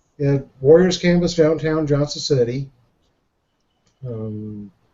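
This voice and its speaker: This man speaks at a very slow pace with an American accent, his pitch fairly high and its variation ordinary. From Jacksonville, Florida. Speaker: show guest, reseller. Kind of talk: casual chat.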